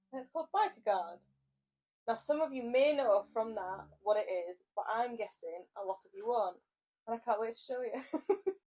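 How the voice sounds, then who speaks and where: A woman with an English accent speaks at a moderate pace, her fairly high pitch swinging very widely over a dark, mellow tone. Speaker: motorcycle vlogger. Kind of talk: product review vlog. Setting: indoors, mic on a table. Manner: loud; animated.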